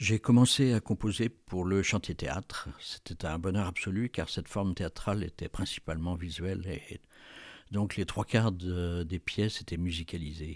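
A man speaks with very deep, low pitch and ordinary pitch variation at a fairly slow pace. The sound is dry and close, with no echo. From Brittany, France. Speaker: jazz musician. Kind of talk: interview. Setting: remote audio interview.

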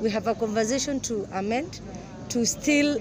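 Crowd noise carries in the background. The sound is dry with no echo, and the pace is moderate. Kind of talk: interview answer. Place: open country.

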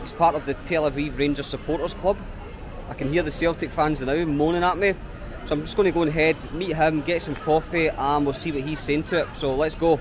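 A man with a Scottish accent talks at a fairly quick pace in a monotone, flat delivery. Noticeable background noise runs under his voice. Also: fairly high pitch for a man. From Scotland. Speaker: travel vlogger. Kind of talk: travel vlog narration. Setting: outdoors.

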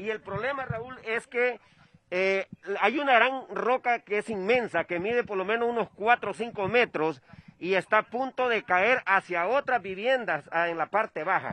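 Raising and projecting his voice, a man talks at a fairly slow pace in a high pitch with ordinary pitch variation, the sound dry with no echo. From Honduras. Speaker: field reporter. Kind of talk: live field report. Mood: urgent, concerned. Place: open country.

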